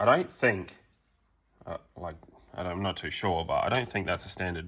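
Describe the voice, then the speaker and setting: Mumbling man with an Australian accent and a bright, sharp tone on a very clean recording over a silent background. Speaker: car mechanic youtuber. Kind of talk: tutorial. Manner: mumbly; casual with many fillers.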